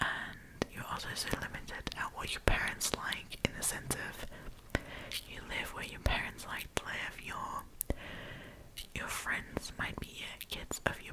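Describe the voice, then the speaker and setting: A woman whispers at a fairly slow pace, her loudness swinging widely, over noticeable background noise. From Germany. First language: German. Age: 20s. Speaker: ASMR storyteller. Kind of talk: casual chat. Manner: whispering.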